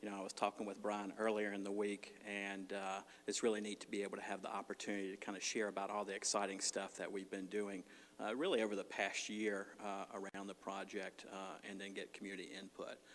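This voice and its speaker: Speaking with an American accent, a man of fairly low pitch talks at a fairly quick pace in a monotone, flat delivery. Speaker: clinical social worker and addiction counselor. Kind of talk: presentation at community forum. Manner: fast when anxious.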